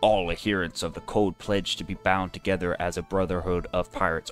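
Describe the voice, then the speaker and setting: Over music in the background, a man puts on a character voice. It sits very deep and low and moves at a fairly quick pace. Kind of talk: formal, declamatory.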